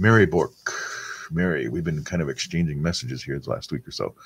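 A man's very deep, low voice with vocal fry, dry and close with no echo, on a very clean recording with a silent background. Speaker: rosary prayer livestream host. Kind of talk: casual chat reading prayer intentions.

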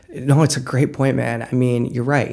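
A man's medium-pitched voice with a dark, mellow tone and vocal fry, fairly even intonation, fairly quick pace. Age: 30s. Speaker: news editor. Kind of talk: casual chat. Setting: studio.

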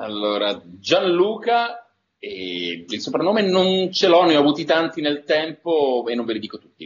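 A man speaks at a fairly slow pace, his pitch swinging very widely and his loudness rising and falling sharply. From northern Italy, Turin. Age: 50s. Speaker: voice actor.

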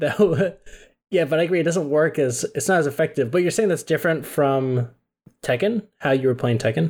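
In a normal speaking voice, a man talks at a fairly quick pace with fairly high pitch, ordinary pitch variation, and very even loudness. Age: 20s. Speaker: podcast co-host. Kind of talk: casual chat.

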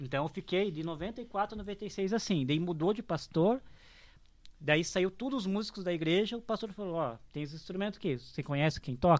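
On a very clean recording with a silent background, a man uses lively intonation and a high pitch. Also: moderate pace. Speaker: drum teacher and church musician. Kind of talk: casual chat.

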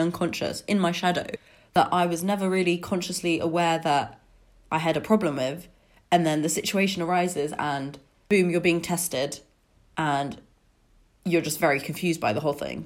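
A woman's fairly low voice, a normal speaking voice, at a fairly quick pace with ordinary pitch variation. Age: 20s. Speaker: podcast host. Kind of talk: solo podcast monologue. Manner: casual, conversational.

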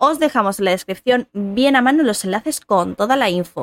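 A woman speaks at a moderate pace in a plain, everyday voice, fairly high-pitched with lively intonation, the sound dry and close with no echo. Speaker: podcast co-host. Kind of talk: casual chat.

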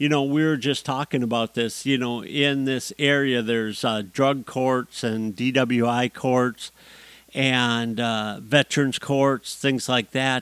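With an American accent, a man speaks at a medium pitch and a very slow pace. His intonation is fairly even, and the sound is dry and close with no echo. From US. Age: 50s. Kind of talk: solo monologue podcast.

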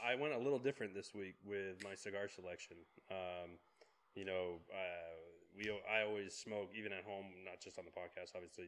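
A plain, everyday voice from a man, pitched fairly low, at a moderate pace and with ordinary pitch variation. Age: 30s. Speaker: podcast co-host. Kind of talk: casual chat.

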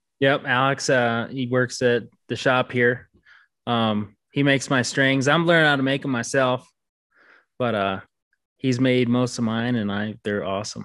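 Against a quiet background, a man talks at a moderate pace in an unremarkable speaking voice with medium pitch. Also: fairly even intonation. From Minnesota, US Midwest. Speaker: competitive archer. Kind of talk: casual interview.

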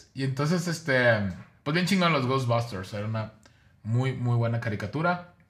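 A man speaks at a fairly slow pace with lively intonation and a bright, sharp tone. Audible room echo surrounds his voice. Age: 40s. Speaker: podcast co-host. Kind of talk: casual chat.

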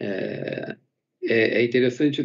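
This man speaks at medium pitch with fairly even intonation. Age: 50s. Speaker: company medical executive. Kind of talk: corporate webinar panel talk. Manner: halting with frequent fillers.

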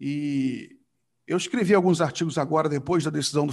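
A man's voice with ordinary pitch variation, against a quiet background. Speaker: blog editor and show host. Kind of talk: casual political talk show. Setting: live video stream.

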